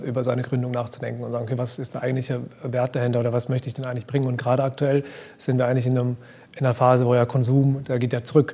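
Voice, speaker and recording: A man speaks at a medium pitch in a flat, monotone delivery over noticeable background noise. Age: 30s. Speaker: fashion brand founder. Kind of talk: interview. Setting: live event recording.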